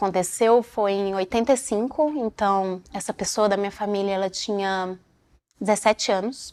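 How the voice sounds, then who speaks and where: The recording is very clean against a silent background. Delivery is fairly slow. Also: woman. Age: 30s. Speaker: dancer. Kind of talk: interview testimony. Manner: halting.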